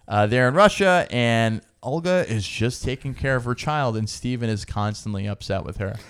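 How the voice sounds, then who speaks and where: A man's normal speaking voice, medium-pitched with lively intonation, at a moderate pace with hardly any pauses, in a very clean recording with a silent background. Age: 40s. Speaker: podcast co-host. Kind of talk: casual chat. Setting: home recording late at night.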